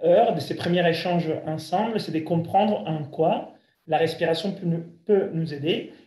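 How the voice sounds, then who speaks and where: A man with a high pitch and a dark, mellow tone speaks at a moderate pace with ordinary pitch variation, with audible room echo around him. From Italy. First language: Italian (speaking French). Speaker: breathing coach. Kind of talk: lecture. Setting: video call.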